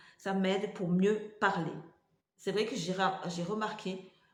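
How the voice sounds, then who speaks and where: A woman's voice with audible room echo. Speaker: vlogger with multiple sclerosis. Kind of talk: casual vlog talk to camera. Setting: home kitchen. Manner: halting, many hesitations.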